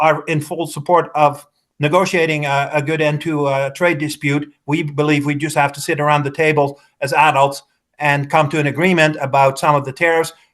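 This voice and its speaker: A man with a Dutch accent speaks at a moderate pace, his fairly high voice held in a monotone, flat intonation. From Netherlands. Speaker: politician. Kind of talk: political interview. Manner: halting.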